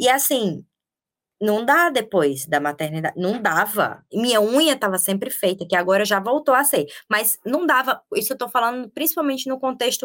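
This woman's pitch sits fairly high and swings very widely. She talks at a moderate pace. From Paraíba, Brazil. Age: 30s. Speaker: social media manager and journalist, mother. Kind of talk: casual interview chat.

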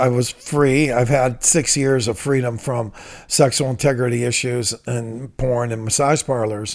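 With an American accent, a man has an ordinary speaking voice, a medium pitch, fairly even intonation and a moderate pace. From Ohio, Toledo. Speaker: author and leadership trainer in recovery ministry. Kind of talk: interview testimony.

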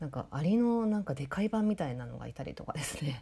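A woman's somewhat breathy voice, dark and mellow in tone, with lively intonation. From Kitakyushu, Moji (Fukuoka), Japan. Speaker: podcast host. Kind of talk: casual chat.

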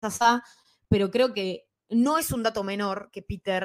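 An unremarkable speaking voice from a woman at medium pitch, ordinary pitch variation, dry and close with no echo. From Bolivia and Ecuador. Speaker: comics podcaster and columnist. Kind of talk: casual panel discussion.

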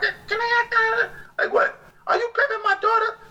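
Someone puts on a squeaky character voice. The pace is moderate. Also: female-sounding voice, extremely high pitch for a woman.

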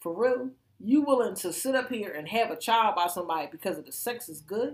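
Here is a woman with a fairly high pitch. Her intonation is lively. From Philadelphia. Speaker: podcast co-host. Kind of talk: casual chat.

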